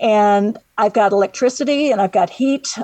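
A woman with an unremarkable speaking voice talks at a fairly high pitch, the sound dry and close with no echo. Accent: American. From Northwest Indiana. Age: 60s. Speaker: woodworking artist, retired secretary. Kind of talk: radio interview.

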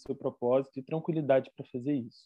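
A man speaks with a Rio de Janeiro accent. His pace is very fast. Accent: carioca. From Rio de Janeiro, Brazil. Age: 20s. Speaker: theologian and former youth pastor. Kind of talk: casual chat.

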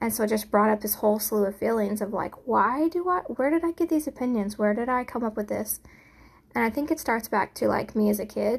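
A woman talks at a fairly quick pace with lively intonation. Her voice is somewhat breathy and fairly high-pitched. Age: 40s. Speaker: podcaster. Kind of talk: solo monologue.

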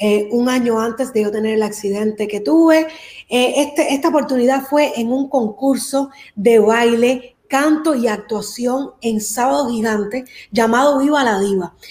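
Woman's voice, high in pitch, fairly slow in pace, ordinary pitch variation. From Cuba, raised in Miami. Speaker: singer. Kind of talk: interview.

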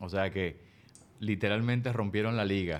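A man speaks with a fairly low pitch, ordinary pitch variation, and a moderate pace. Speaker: podcast host. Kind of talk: casual interview.

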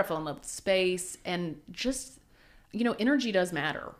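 A woman speaks with an American accent in a plain, everyday voice. Her pitch is fairly low and her pace moderate. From Oklahoma, US. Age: 30s. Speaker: church consulting entrepreneur. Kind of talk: interview conversation.

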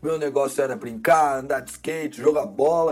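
A man's fairly high-pitched, animated voice at a moderate pace. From Brazil. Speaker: podcast host and graduate student. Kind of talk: solo podcast episode, scripted narration.

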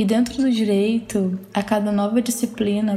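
Over noticeable background noise, a woman talks at a fairly slow pace with a medium pitch and fairly even intonation. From Pará, northern Brazil. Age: 20s. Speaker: law student podcaster. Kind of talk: personal monologue podcast.

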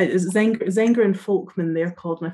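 A woman with a Scottish accent talks at a fairly low pitch with fairly even intonation. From northeast Scotland. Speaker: trainee therapist. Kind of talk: interview.

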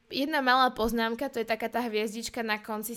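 A woman with a normal speaking voice talks at a moderate pace and a fairly high pitch with fairly even intonation, in a very clean recording with a silent background. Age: 20s. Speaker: podcast host. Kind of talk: personal monologue.

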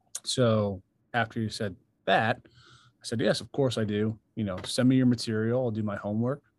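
With an American accent and a normal speaking voice, a man talks at a moderate pace and medium pitch, using fairly even intonation with big swings in loudness. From New York, Long Island. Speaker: touring drummer. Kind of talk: casual chat.

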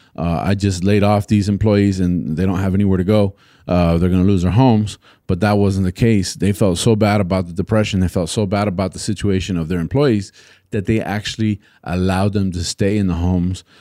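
A man's very deep, low voice in a dark, mellow tone, fairly even in intonation and fairly quick in pace, on a very clean recording with a silent background. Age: 40s. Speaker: podcast host. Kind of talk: solo educational monologue. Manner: casual with frequent fillers.

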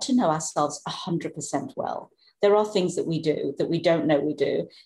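A woman speaks at a moderate pace in a dark, mellow tone that is somewhat breathy. She uses ordinary pitch variation. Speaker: psychologist and author. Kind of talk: interview conversation. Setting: remote call from Norway.

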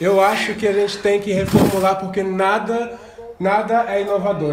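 This man has a high-pitched voice and fairly even intonation at a moderate pace. Noticeable background noise and audible room echo are present. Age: 20s. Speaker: podcast co-host. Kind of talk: casual chat.

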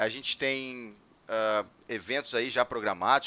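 Recorded very cleanly against a silent background, a man's medium-pitched voice has a bright, sharp tone and a dry, close sound with no echo. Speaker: podcast host. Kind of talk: casual chat.

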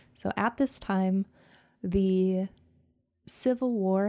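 At a very slow pace, a woman talks with an American accent on a very clean recording with a silent background. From western US. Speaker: podcast co-host. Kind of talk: casual chat. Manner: animated.

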